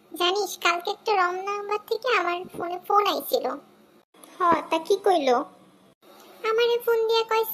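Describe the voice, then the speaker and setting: This is a cartoonish character voice. Its pitch is extremely high. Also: moderate pace. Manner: cheeky, comic.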